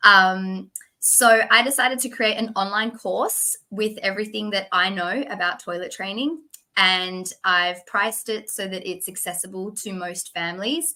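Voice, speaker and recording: A woman with an Australian accent and medium pitch talks at a moderate pace in a bright, sharp tone, with ordinary pitch variation, big swings in loudness, and a very clean recording over a silent background. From Western Australia, Perth. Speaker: toilet training specialist. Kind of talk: interview.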